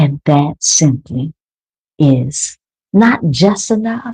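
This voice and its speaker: Her very deep, low voice is dark, mellow and soothing, with lively intonation and some breathiness. The woman's sound is dry and close, with no echo. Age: 50s. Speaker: wellness coach. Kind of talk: guided meditation.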